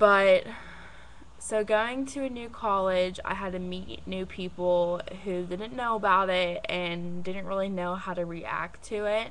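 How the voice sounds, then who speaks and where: A woman with a medium pitch and fairly even intonation is heard with audible room echo. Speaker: vlogger. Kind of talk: personal vlog. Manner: halting.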